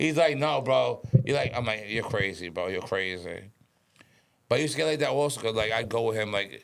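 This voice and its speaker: A man speaks with a New York accent and vocal fry. His pitch swings very widely. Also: medium pitch for a man, fairly quick pace. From Westchester, New York. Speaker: podcast guest, former stockbroker. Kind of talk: casual chat. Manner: fast; mumbling.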